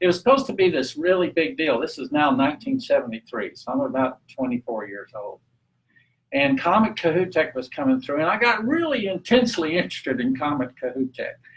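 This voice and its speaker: A man talks at a fairly quick pace with a Texan accent. His pitch swings very widely. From Texas, Amarillo (Texas Panhandle). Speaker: renewable energy activist and guest speaker. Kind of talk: talk at a public meeting. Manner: casual, halting with fillers.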